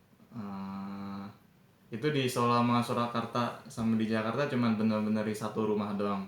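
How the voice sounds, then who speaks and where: Noticeable background noise and audible room echo surround the voice. It moves at a moderate pace with a monotone, flat intonation. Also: man, medium pitch for a man. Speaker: university student interviewer. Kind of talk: interview. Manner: casual.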